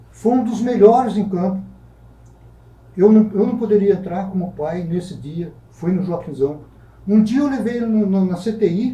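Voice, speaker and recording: A man with a high pitch and a dark, mellow tone talks at a moderate pace with ordinary pitch variation and long, frequent pauses, in audible room echo. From Brazil, Taubaté (São Paulo state). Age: 60s. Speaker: writer. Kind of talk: talk show interview. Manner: halting.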